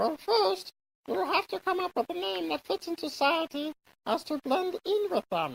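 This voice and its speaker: A squeaky, high-pitched put-on character voice with very wide pitch swings at a moderate pace. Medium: machinima. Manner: chatty, self-satisfied.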